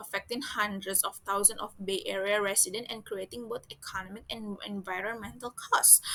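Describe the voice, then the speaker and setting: A woman with an Indonesian accent speaks at a moderate pace in a bright, sharp tone. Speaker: student. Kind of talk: class presentation. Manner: halting.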